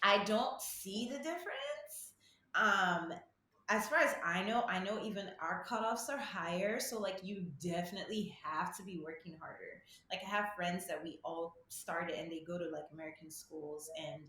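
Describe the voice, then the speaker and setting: Over noticeable background noise and audible room echo, a woman talks at a moderate pace and medium pitch, her intonation lively and her loudness swinging widely. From Nigeria. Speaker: medical student. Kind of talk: casual interview.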